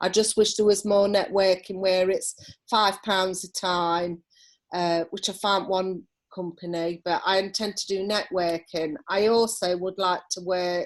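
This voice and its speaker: A woman with an East Midlands accent speaks in a medium pitch at a fairly slow pace. Her intonation is monotone and flat, and the recording is very clean with a silent background. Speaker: holistic therapist. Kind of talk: interview. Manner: loud.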